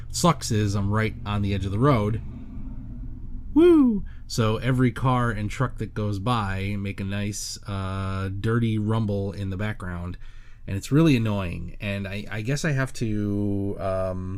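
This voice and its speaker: A man talks at a fairly slow pace with a fairly low pitch and ordinary pitch variation. The recording has audible room echo. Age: 40s. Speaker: solo podcaster. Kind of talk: casual monologue. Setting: bedroom home studio. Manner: halting, many fillers. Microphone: studio condenser mic clamped to desk.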